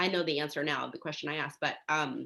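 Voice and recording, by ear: A woman talks fast with a bright, sharp tone and vocal fry. Her pitch is low, with ordinary variation.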